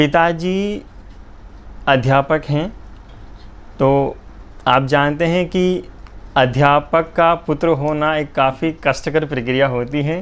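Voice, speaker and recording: This man has a normal speaking voice, pitched fairly high, with fairly even intonation. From Jhalawar, Rajasthan, India. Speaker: poet. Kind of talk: interview. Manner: formal.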